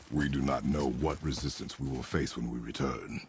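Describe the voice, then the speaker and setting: A man's put-on character voice, very deep and low, stern in tone, with fairly even intonation and clear background noise. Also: moderate pace. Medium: video game. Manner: terse, stern, clipped.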